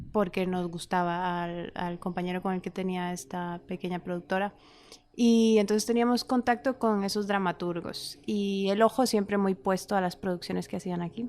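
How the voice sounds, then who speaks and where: A woman's medium-pitched voice with a Costa Rican accent, at a moderate pace and with fairly even intonation. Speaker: writer and actress. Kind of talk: interview conversation.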